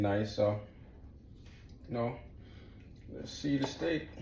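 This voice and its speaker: A man speaks with a dark, mellow tone and a somewhat breathy quality. His intonation is lively, and the room echo is audible. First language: not English. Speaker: home cook, cooking video host. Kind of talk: cooking tutorial. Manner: casual, conversational.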